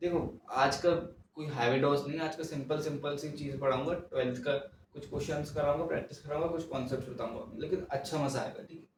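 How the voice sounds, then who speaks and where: Soft-spoken, a man talks at a moderate pace in a fairly high, flat monotone, with big swings in loudness. Audible room echo is present. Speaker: maths teacher. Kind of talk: lecture. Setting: home recording at night.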